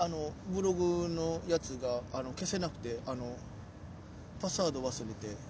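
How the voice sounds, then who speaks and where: In a Kansai accent, a man with a fairly high pitch talks at a moderate pace with lively intonation, and audible room echo surrounds his voice. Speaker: comedian, podcast host. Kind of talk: casual chat. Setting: outdoors in a park.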